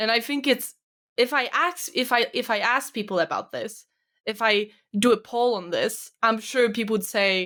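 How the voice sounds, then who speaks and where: On a very clean recording with a silent background, a woman with a fairly high pitch and a bright, sharp tone speaks at a moderate pace with ordinary pitch variation. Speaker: podcast co-host and vlogger. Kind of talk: casual chat. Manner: smiling while talking.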